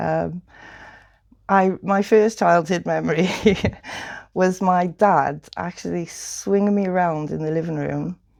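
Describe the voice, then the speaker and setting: Here a woman speaks with a Welsh accent at a fairly slow pace. The recording is very clean, with a silent background. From Wales. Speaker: guest with lived experience of addiction and prison. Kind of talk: interview.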